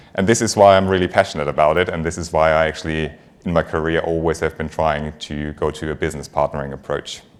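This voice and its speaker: Speaking very fast, a man with a very deep, low voice keeps his intonation fairly even. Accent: German. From Germany. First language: German. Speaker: finance executive. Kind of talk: conference talk.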